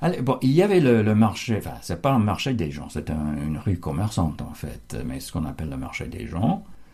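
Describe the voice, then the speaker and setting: This man's voice has a dark tone. It sounds mellow. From United States. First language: English (speaking French). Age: 70s. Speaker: translator, local resident. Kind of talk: interview. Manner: halting, many hesitations.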